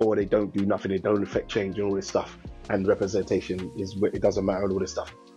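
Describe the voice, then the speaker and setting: Faint background music can be heard. Over it, a man speaks at a fairly quick pace. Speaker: podcast co-host. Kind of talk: casual commentary. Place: home room.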